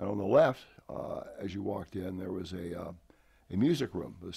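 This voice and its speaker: A man with an American accent speaks at a very deep, low pitch. His tone is dark and mellow, with vocal fry. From San Francisco Peninsula, California. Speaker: retired army colonel. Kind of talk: interview. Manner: halting with fillers.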